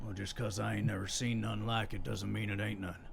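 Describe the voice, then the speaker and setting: With clear background noise behind him, a man uses a put-on character voice at a fairly low pitch and a fairly quick pace. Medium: actual play. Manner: gruff, rude, folksy ungrammatical.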